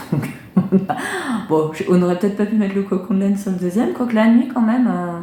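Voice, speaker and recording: Someone talks at a very fast pace amid noticeable background noise and audible room echo. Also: woman. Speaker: knitting and sewing podcaster. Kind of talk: casual vlog chat. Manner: hesitant, many fillers.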